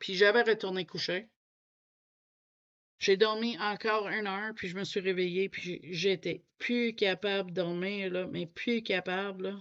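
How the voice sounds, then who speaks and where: Against a quiet background, a woman speaks fairly slowly at a medium pitch with fairly even intonation. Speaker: coloring youtuber. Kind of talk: casual chat. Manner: halting.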